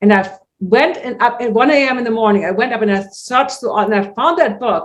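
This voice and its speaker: An animated woman with a German accent, fairly high in pitch, at a fairly quick pace with ordinary pitch variation. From Germany, Hamburg. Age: 60s. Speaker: natural vision teacher. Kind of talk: interview.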